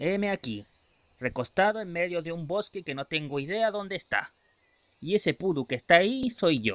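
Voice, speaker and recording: Using a cartoonish character voice, a man speaks at a moderate pace with fairly high pitch. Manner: sarcastic, then panicky.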